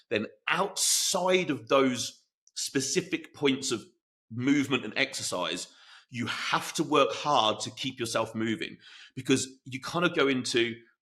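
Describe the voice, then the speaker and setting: A man speaks loudly at a medium pitch, his tone bright and sharp and his pitch varying in an ordinary way. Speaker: fitness coach and podcast host. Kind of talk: solo podcast talk.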